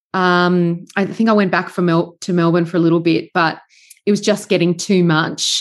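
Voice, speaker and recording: Against a quiet background, a woman speaks with an Australian accent at a fairly low pitch. Her delivery is fairly quick, with monotone, flat intonation. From Sydney, Australia. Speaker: farmer and podcaster, former journalist. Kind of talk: casual interview.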